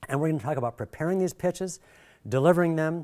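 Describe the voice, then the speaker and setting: Speaking at a very fast pace with an American accent, a man is heard on a very clean recording against a silent background. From Michigan. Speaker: workshop presenter, video director. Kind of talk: workshop lecture.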